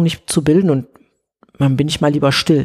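A woman talks with a very deep, low pitch. Her pace is fairly quick and her intonation fairly even. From Ruhr area, Germany (Oberhausen). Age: 40s. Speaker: TV journalist. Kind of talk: interview, casual chat. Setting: at home on a sofa.

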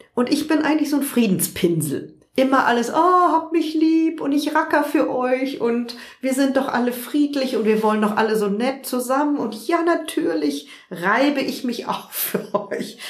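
A woman speaks at a high pitch with lively intonation. Noticeable background noise and audible room echo surround her. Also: moderate pace. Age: 50s. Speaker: journalist and online magazine founder. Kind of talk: interview. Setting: at her home.

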